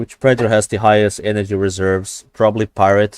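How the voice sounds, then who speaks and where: The sound is dry and close with no echo as a man speaks with a non-native accent. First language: not English. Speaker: gaming streamer. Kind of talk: live gameplay stream chat. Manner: halting, many fillers and repeats; animated.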